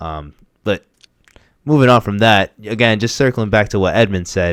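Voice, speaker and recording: Pausing long and often, a man with a slight Boston accent speaks at a moderate pace and fairly low pitch with ordinary pitch variation, on a very clean recording with a silent background. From Boston, Massachusetts. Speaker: podcast co-host. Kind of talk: casual chat. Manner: casual, hesitant with fillers.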